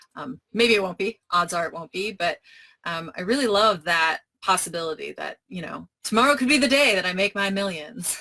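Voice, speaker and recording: A woman with a medium-pitched voice and a bright, sharp tone speaks with big swings in loudness, the sound dry and close with no echo. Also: lively intonation. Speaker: game inventor. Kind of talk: live Q&A session. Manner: fast.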